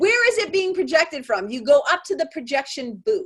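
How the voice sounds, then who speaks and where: A woman speaks with a New England accent at a fairly slow pace. Her pitch makes very wide swings. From Boston, Massachusetts. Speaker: spiritual mentor. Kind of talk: podcast interview answer.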